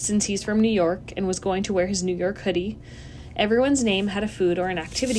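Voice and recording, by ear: Someone reads aloud, using a natural voice.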